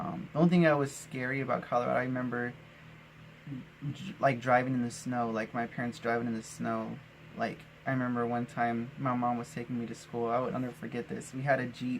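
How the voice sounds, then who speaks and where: With an American accent, a man talks very fast with fairly even intonation. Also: medium pitch for a man. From Arizona, US Southwest. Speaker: vlogger. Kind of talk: personal storytelling monologue. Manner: casual with many fillers and restarts.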